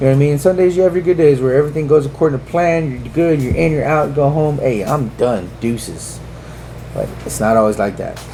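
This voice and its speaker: A man's fairly high voice, with ordinary pitch variation, moves at a fairly quick pace through noticeable background noise. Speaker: podcast co-host, prison officer. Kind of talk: casual chat.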